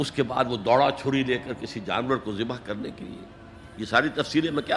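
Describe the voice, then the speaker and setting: A man speaks at a medium pitch. Music plays in the background. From Pakistan. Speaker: Islamic scholar. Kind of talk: religious sermon.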